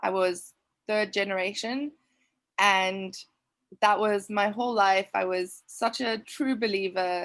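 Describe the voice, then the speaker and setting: A woman with a South African accent speaks at a fairly slow pace with fairly even intonation and long, frequent pauses, on a very clean recording with a silent background. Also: medium pitch for a woman. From South Africa, Cape Town. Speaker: trauma coach. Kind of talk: interview testimony.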